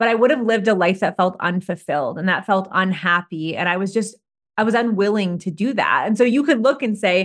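An unremarkable speaking voice moves at a fairly quick pace with lively intonation against a quiet background. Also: woman. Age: 30s. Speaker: nutritionist and business coach. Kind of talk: casual chat. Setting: in-person.

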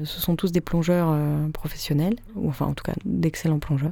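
A woman talks with a very deep, low pitch. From Paris, France. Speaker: sound artist and electroacoustic composer. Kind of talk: interview. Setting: radio studio. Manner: hesitant, many fillers.

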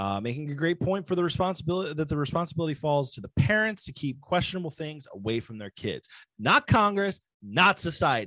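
An animated man with an American accent speaks at a fairly quick pace and fairly high pitch in a bright, sharp tone, with very wide pitch swings and big swings in loudness, in a dry, close sound with no echo. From Virginia, US (Virginia Beach area). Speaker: podcast host. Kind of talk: casual solo podcast monologue.

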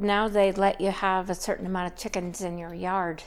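Here is a woman with a plain, everyday voice and a Canadian accent. She speaks at medium pitch and a moderate pace. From Saskatchewan, Canada. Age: 50s. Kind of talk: testimony.

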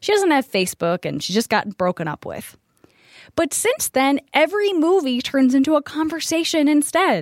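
In a very clean recording with a silent background and a dry, close sound with no echo, a woman speaks at a moderate pace in a high pitch with very wide pitch swings. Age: 30s. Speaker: podcast co-host. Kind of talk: casual chat. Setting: studio.

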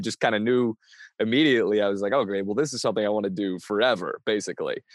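An American accent marks this man's speech, which has ordinary pitch variation. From US Pacific Northwest (Bainbridge Island, Washington). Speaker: comedian. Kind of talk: casual interview.

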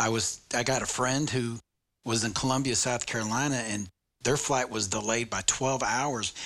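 A man with a normal speaking voice talks at a medium pitch and a fairly quick pace with fairly even intonation. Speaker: podcast co-host, guide dog user. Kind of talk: casual chat.

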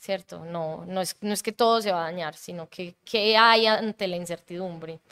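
Speaking at a moderate pace with hardly any pauses, a woman uses fairly even intonation and a bright, sharp tone, recorded with a dry, close sound with no echo. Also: medium pitch for a woman. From Colombia (Bogotá until about age 11). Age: 30s. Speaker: improviser, comedian and actress. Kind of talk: casual interview.

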